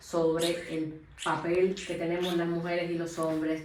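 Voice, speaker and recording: There is noticeable background noise as a woman speaks at a fairly slow pace. Her pitch is fairly low for a woman. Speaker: interviewer, channel host. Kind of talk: interview questions. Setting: theatre dressing room.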